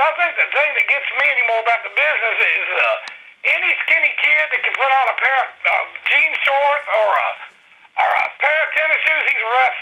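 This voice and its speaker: Background noise is noticeable. Over it, a man speaks at a fairly quick pace. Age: 60s. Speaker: wrestling show co-host. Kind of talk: casual chat.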